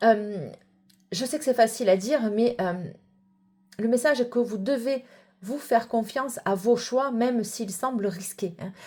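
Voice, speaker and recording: Pausing often and at length, a woman speaks at a fairly slow pace in a fairly high pitch, with a dark, mellow tone and ordinary pitch variation. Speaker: psychic card reader. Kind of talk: tarot reading. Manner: hesitant with many fillers.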